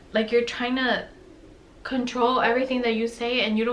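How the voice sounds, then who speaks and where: Noticeable background noise and audible room echo surround a woman speaking at a fairly quick pace in a high voice. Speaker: lifestyle vlogger. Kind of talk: casual chat. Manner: soft-spoken.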